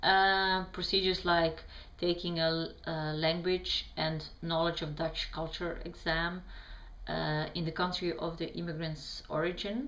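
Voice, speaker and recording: Speech in a Bosnian accent comes at a fairly slow pace with monotone, flat intonation and audible room echo. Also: woman, fairly low pitch for a woman. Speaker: vlogger answering questions. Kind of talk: reading prepared answers to camera. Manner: halting, many fillers.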